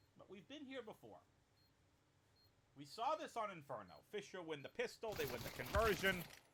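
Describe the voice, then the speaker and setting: The speaker talks at a moderate pace with a Boston accent, leaving long, frequent pauses. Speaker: esports caster. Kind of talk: live commentary. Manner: animated.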